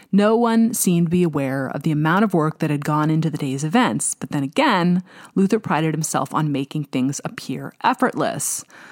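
An ordinary speaking voice at a moderate pace with lively intonation, captured in a very clean recording with a silent background and a dry, close sound with no echo. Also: woman. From US Pacific Northwest (Snohomish, Washington). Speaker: podcast host and author narrating her own novel. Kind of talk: reading aloud fiction.

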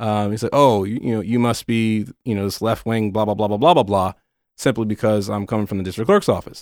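Over a silent background in a very clean recording, a man with an American accent speaks very fast at a fairly low pitch with fairly even intonation. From northern US. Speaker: county community outreach liaison, former TV news worker. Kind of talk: casual interview. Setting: studio.

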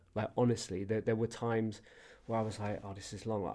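On a very clean recording with a silent background, a man with a London accent speaks in a dark, mellow voice of medium pitch. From Southwest London. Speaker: former basketball website founder, TV producer. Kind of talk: casual interview.

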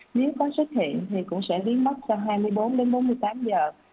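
A woman with a fairly high pitch speaks with lively intonation over noticeable background noise. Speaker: doctor. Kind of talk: expert health advice answering questions on radio. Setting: radio studio broadcast.

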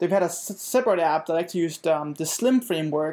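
This man speaks with a Danish accent at a fairly quick pace. His pitch is fairly high. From Denmark. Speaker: software engineer. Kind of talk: casual interview chat. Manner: halting, many fillers and repetitions.

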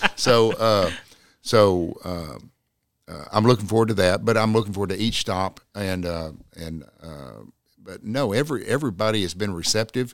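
A man with a Texan accent, fairly low in pitch, at a moderate pace with ordinary pitch variation and big swings in loudness, on a very clean recording with a silent background. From North Texas (Jack County). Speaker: lawyer and political candidate. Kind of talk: interview.

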